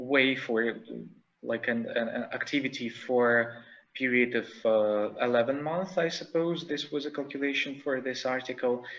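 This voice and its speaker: At a moderate pace, a man of medium pitch talks with ordinary pitch variation, and room echo can be heard. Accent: non-native. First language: not English. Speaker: conference speaker. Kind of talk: conference presentation. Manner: halting, many fillers.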